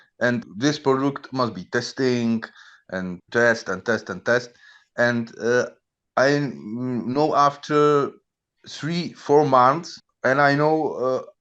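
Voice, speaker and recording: Speaking very slowly with a non-native accent, a man talks at a medium pitch with ordinary pitch variation over a quiet background. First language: not English. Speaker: coding mentor, chemist. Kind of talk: casual chat. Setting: video call. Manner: halting.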